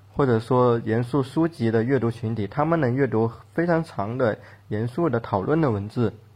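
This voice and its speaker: Speaking with a Cantonese accent, this voice is somewhat breathy and moves at a moderate pace. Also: man, medium pitch for a man, ordinary pitch variation. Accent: Cantonese-accented Mandarin. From Guangdong, China. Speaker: fiction writer and podcast co-host. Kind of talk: casual panel discussion.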